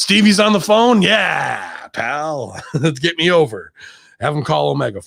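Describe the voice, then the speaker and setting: A man puts on a gravelly character voice, fairly high in pitch. His pitch swings very widely at a moderate pace. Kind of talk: casual.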